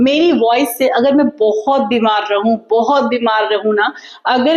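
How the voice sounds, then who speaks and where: Noticeable background noise sits behind the voice. A woman speaks with lively intonation. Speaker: vlogger. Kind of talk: casual vlog talk to viewers. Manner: loud, energetic even when tired; talkative, flowing.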